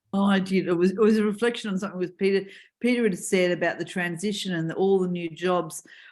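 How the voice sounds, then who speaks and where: Very fast, monotone, flat speech from a woman with an Australian accent and a medium pitch, in a very clean recording with a silent background. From Newcastle, Australia. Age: 60s. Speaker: meeting participant. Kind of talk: casual chat.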